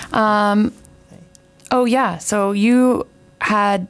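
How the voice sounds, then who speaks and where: At a very slow pace with long, frequent pauses, a woman speaks at a fairly high pitch. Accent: Canadian. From Canada. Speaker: radio host. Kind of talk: radio show chat. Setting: radio studio. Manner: warm, upbeat.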